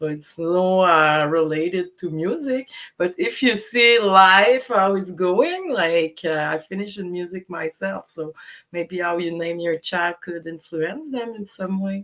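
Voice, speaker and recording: A woman's medium-pitched voice in a Quebec accent, fairly slow, with ordinary pitch variation. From Quebec, Montreal. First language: French. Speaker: DJ. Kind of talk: casual interview. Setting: live stream video call.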